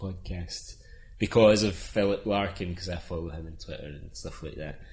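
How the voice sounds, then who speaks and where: A man with a Scottish accent, very deep and low in pitch, somewhat breathy, his intonation fairly even. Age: 30s. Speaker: illustrator. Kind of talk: casual chat.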